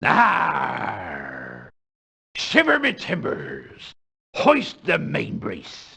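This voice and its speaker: The speaker is a man putting on a character voice. His words come out very slowly. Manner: theatrical, fake.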